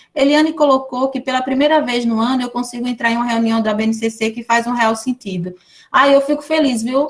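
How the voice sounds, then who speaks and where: High-pitched female voice, fairly quick in pace, its pitch varying in an ordinary way. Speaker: education professor. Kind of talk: lecture. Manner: fast.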